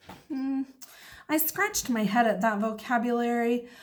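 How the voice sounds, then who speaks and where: With an excited tone, a woman speaks at a fairly high pitch, somewhat breathy. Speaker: teacher. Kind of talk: children's book read-aloud. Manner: expressive, excited.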